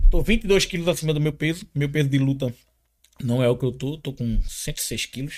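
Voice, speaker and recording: The recording is very clean with a silent background. A man speaks at a moderate pace with a fairly high pitch, very wide pitch swings and long, frequent pauses. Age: 40s. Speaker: martial arts instructor. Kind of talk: casual interview.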